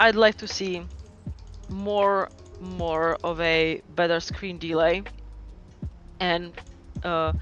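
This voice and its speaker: Over music in the background, a man with a Czech accent speaks in a high, monotone, flat voice at a very slow pace with long, frequent pauses. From Czech Republic. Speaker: online game team founder. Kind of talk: casual interview chat.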